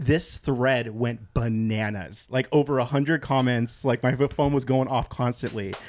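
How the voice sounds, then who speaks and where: A man talks at a moderate pace and medium pitch, with hardly any pauses. His is a plain, everyday voice, with fairly even intonation and very even loudness. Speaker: podcast guest, former rock musician. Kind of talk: casual chat about faith.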